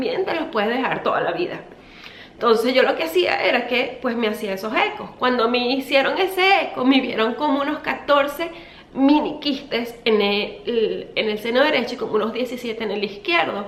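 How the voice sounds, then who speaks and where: Pitched high, a woman talks at a moderate pace amid noticeable background noise and audible room echo. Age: 30s. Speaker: beauty vlogger. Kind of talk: storytime vlog. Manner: casual, chatty.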